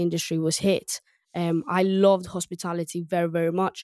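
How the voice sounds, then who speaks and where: With a Greek accent, a woman speaks at a moderate pace in a fairly low, monotone voice with flat intonation, and the sound is dry and close with no echo. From Greece. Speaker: restaurant tech co-founder. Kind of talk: podcast interview. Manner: hesitant, many fillers.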